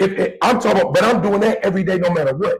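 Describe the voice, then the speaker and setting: A man speaks with an American accent. His pitch is high. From Oakland, California (US West Coast). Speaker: podcast host. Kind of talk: heated debate. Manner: animated, interrupting.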